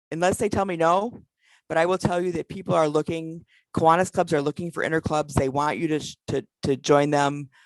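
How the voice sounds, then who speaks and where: Against a quiet background, a woman speaks in an animated tone at a fairly low pitch with ordinary pitch variation, the sound dry and close with no echo. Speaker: past president of a service club organization. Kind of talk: virtual conference talk; Q&A. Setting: video call. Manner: fast.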